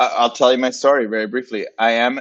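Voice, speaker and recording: With a Spanish accent, a man talks at a fairly quick pace and keeps his intonation fairly even. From Puerto Rico / Dominican Republic. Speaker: graphic designer and agency founder. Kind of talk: interview. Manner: casual, many fillers.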